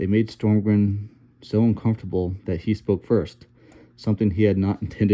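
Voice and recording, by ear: A passage is read out loud. The voice doing it is natural.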